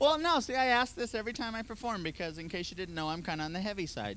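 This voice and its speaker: A man with a high pitch talks at a very fast pace, his voice making very wide pitch swings amid audible room echo. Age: 20s. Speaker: stand-up comedian. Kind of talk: stand-up. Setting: stage with audience.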